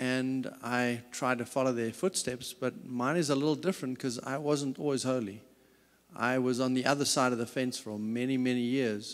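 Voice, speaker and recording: Medium-pitched man in a South African accent, fairly even intonation, moderate pace, very clean recording with a silent background. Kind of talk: talk. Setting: stage with audience.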